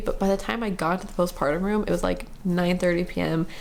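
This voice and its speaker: A woman mumbles her words. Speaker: vlogger sharing birth story. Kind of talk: casual personal story. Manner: fast; mumbling.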